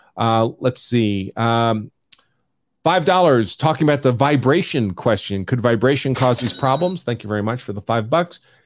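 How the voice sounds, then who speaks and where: A man's medium-pitched voice with an American accent, lively intonation and a moderate pace. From New York. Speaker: attorney and show host. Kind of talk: legal analysis live stream. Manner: talks over people.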